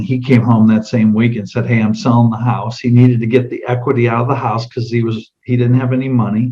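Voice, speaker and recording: This man's tone is dark and mellow, somewhat breathy. He talks at a fairly quick pace in a monotone, flat intonation. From US South. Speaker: insurance sales trainer. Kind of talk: sales role-play demonstration. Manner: casual, conversational with fillers.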